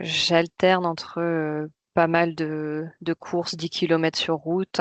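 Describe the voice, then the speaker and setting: Spoken at a very slow pace in a flat monotone, the voice sounds dry and close with no echo over a quiet background. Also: woman. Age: 30s. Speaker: amateur trail runner. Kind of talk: interview. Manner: hesitant, many fillers.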